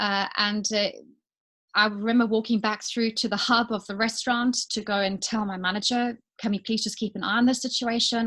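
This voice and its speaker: With a South African accent, a woman speaks at a moderate pace using fairly even intonation. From South Africa, Johannesburg. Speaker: business owner. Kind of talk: interview testimony.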